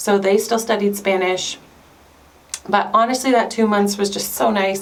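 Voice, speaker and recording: A woman with a Canadian accent talks at a fairly quick pace and medium pitch, her intonation fairly even. Audible room echo and noticeable background noise are present in the recording. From Canada. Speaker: homeschooling mom vlogger. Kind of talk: casual vlog talk to camera. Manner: chatty, conversational.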